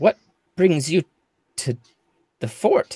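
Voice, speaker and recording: A man puts on a character voice, pitched high. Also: dry, close sound with no echo. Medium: actual play. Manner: suspicious, terse.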